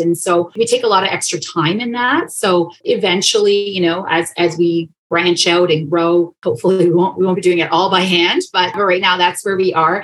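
In a Canadian accent, a woman talks at a moderate pace with a fairly low pitch and ordinary pitch variation. It is an ordinary speaking voice. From Canada, Toronto. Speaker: pet toy company co-founder. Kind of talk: casual interview.

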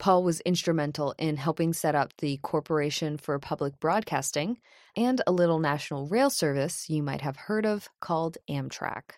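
A woman with a very deep, low pitch and ordinary pitch variation talks at a moderate pace in a very clean recording with a silent background. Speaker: podcast host narrator. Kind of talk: scripted narration.

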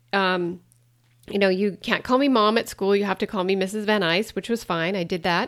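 With an American accent and a normal speaking voice, a woman talks at a moderate pace and medium pitch on a very clean recording with a silent background. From US, rural Montana. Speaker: podcast host, wellness coach. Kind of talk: solo podcast monologue.

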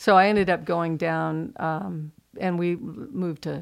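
A woman at a fairly low pitch and fairly slow pace, with ordinary pitch variation, on a very clean recording with a silent background. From US West Coast, Pasadena, California. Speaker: artist. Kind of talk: interview.

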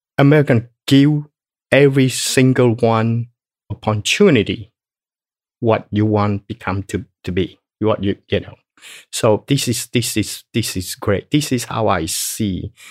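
A man of medium pitch with a Cambodian accent at a fairly slow pace, ordinary pitch variation, and a dry, close sound with no echo on a very clean recording with a silent background. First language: Khmer. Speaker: business owner, genocide survivor. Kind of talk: casual interview. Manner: halting.

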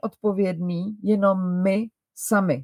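A woman's dark, mellow tone in a dry, close sound with no echo, on a very clean recording with a silent background. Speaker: style coach and podcast host. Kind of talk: advice monologue. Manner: slower than usual.

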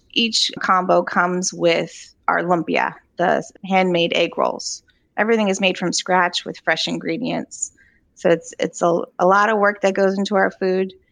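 With an American accent, this plain, everyday voice moves at a fairly slow pace and keeps a fairly even intonation. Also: woman, medium pitch for a woman. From Virginia, Charlottesville. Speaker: food truck co-owner. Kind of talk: interview.

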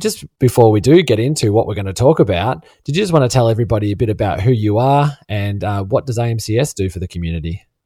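A dark, mellow, somewhat breathy voice in an Australian accent, very fast with hardly any pauses and lively intonation, on a very clean recording over a silent background. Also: man, fairly low pitch for a man. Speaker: podcast host. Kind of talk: casual interview chat.

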